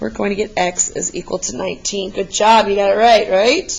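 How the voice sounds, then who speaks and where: A woman's medium-pitched voice with vocal fry. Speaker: math teacher. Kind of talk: tutorial. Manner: encouraging, casual.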